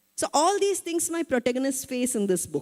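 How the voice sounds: A woman speaks at a moderate pace with a high pitch and big pitch swings. Her tone is dark and mellow, and the sound is dry and close with no echo.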